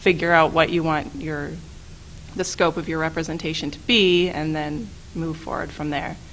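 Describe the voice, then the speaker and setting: This woman's very deep, low pitch and fairly even intonation move at a moderate pace, with big swings in loudness, noticeable background noise and audible room echo. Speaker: staff attorney and legal trainer. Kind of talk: training presentation.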